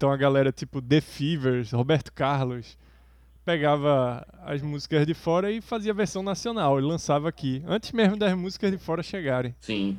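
A plain, everyday voice from a man, fairly high in pitch, at a moderate pace with lively intonation. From Brazil. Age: 40s. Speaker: podcast co-host. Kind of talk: casual chat.

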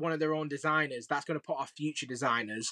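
In a Lancashire accent, the voice has a bright, sharp tone and a dry, close sound with no echo. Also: man. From Preston, northern England. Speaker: sneaker influencer. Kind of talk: casual chat.

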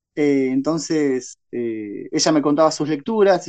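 Here a man speaks at a fairly high pitch. His tone is dark and mellow. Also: quiet background. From Paraguay, Ciudad del Este. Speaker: novelist and secondary school literature teacher. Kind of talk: interview.

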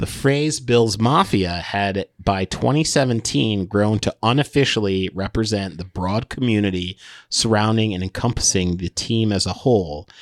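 An unremarkable speaking voice from a man with an American accent, fairly low pitch, ordinary pitch variation, and a moderate pace, in a dry, close sound with no echo and a very clean recording with a silent background. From upstate New York. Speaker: comedian and podcast co-host. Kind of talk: casual chat. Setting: studio.

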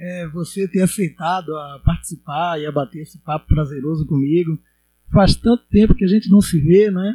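A man's high-pitched, dark and mellow voice at a moderate pace, with ordinary pitch variation and big swings in loudness, dry and close with no echo, on a very clean recording against a silent background. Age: 40s. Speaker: podcast host and educator. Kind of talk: casual interview chat.

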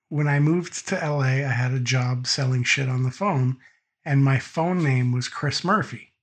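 Somewhat breathy, a man with an American accent speaks at medium pitch with very even loudness. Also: ordinary pitch variation, moderate pace. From Massachusetts. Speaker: podcast guest, tabletop gamer. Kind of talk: casual chat. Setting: voice call over Discord, no video.

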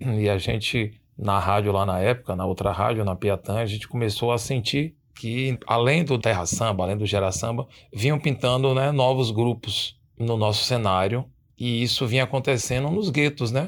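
A man speaks at a medium pitch and a moderate pace, with ordinary pitch variation. It is a plain, everyday voice on a very clean recording with a silent background. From Itabuna, southern Bahia, Brazil. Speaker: radio presenter. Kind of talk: casual interview.

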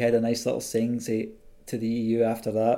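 A man with a Scottish accent talks at a fairly quick pace and medium pitch in a dark, mellow tone. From Scotland. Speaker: podcast host. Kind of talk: interview.

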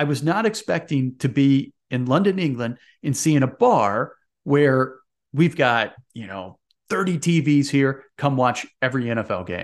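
Against a quiet background, a man with a Midwestern American accent speaks fairly slowly in a fairly high voice with lively intonation. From US Midwest. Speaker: sports podcast host. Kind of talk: casual monologue. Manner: rambling.

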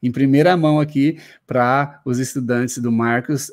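In a very clean recording with a silent background, a man with a normal speaking voice talks at a fairly high pitch with fairly even intonation. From Paraná, southern Brazil. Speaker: exam-prep law teacher. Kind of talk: live-stream interview.

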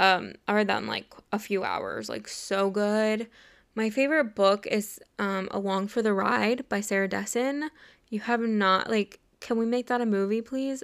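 A woman with an American accent speaks in a normal speaking voice, fairly high in pitch and fairly even in intonation, at a moderate pace. The recording is very clean, with a silent background. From Los Angeles area, US. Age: 20s. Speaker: podcaster and YouTuber. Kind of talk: solo monologue. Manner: casual, filler-heavy.

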